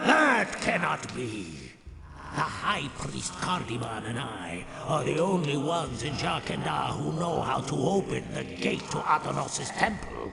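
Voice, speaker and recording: At a fairly slow pace and medium pitch, a man does a put-on character voice amid clear background noise and clear echo. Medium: video game. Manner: formal, archaic, solemn.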